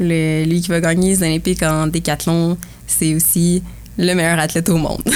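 Keeping her loudness very even, a woman talks at a moderate pace with monotone, flat intonation. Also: fairly low pitch for a woman. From Quebec, Bois-Francs region. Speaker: university athlete and medical student. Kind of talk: casual interview.

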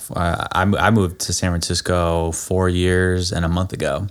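In a very clean recording with a silent background, a man with an American accent and a very deep, low pitch speaks at a moderate pace. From Florida. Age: 30s. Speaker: sales professional. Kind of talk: casual chat. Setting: studio.

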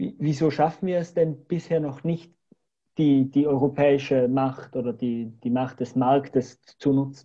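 Speaking at a fairly slow pace over a quiet background, a man with a fairly high pitch and a dark, mellow tone keeps his intonation fairly even. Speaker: podcast host. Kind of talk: interview.

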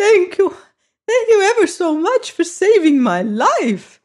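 This put-on character voice is squeaky and extremely high in pitch. It moves at a fairly slow pace.

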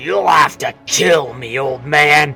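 A man puts on a growling, raspy character voice at a medium pitch. Faint music plays in the background. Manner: growling, defiant.

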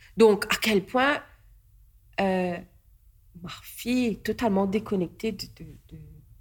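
A woman's somewhat breathy voice at a medium pitch, with ordinary pitch variation, a very slow pace, big swings in loudness and long, frequent pauses. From Mauritius. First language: Mauritian Creole (speaking French). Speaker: artist and politician. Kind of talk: casual chat. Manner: halting.

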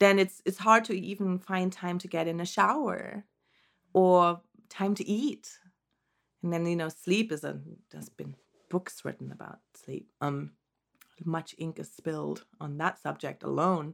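A woman speaks at a fairly slow pace in a fairly low voice, her loudness swinging widely, with long, frequent pauses. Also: ordinary pitch variation. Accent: German. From Germany. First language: German. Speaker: postpartum doula. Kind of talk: interview. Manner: hesitant, many fillers.

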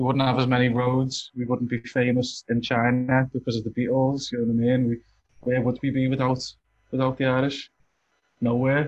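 A man at a medium pitch speaks in a monotone, flat intonation with very even loudness. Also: moderate pace. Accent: Liverpool. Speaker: community centre member. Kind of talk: casual chat.

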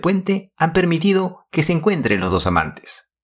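Vocal fry runs through this man's voice, captured in a very clean recording with a silent background. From Peru, Lima. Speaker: podcast host. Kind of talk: scripted narration.

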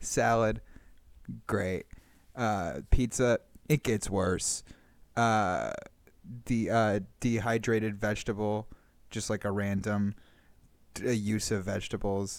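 A man with a West Coast American accent, fairly low pitch, fairly even intonation, very slow pace with long, frequent pauses, on a very clean recording with a silent background. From Northern California. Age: 20s. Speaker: improv comedian. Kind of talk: casual chat.

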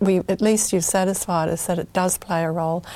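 On a very clean recording with a silent background, a woman has a normal speaking voice at a medium pitch. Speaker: TV health show host. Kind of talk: interview. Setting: studio.

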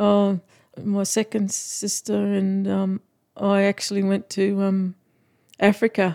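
Speaking very slowly with long, frequent pauses, a woman with a rural Australian accent holds a flat monotone at medium pitch in a dark, mellow tone, the recording very clean and silent in the background, dry and close with no echo. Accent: broad rural Australian. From Australia, outback Queensland (Winton). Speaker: cattle farmer. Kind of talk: interview, casual chat.

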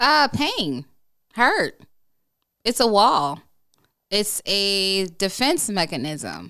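A woman's bright, sharp voice at a very slow pace, with very wide pitch swings and long, frequent pauses, in a very clean recording over a silent background. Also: medium pitch for a woman. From Chicago, South Side. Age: 40s. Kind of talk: interview conversation.

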